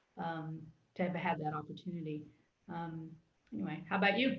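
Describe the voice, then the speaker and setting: Somewhat breathy, a woman speaks at a fairly quick pace amid audible room echo. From Texas. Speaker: church youth ministry worker. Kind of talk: casual chat. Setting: live stream. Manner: halting.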